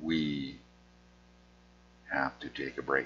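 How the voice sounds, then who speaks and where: The speech is mumbled. It moves at a very slow pace. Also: man. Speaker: artist with conversion disorder. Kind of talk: casual vlog monologue. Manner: slurred words; mumbling.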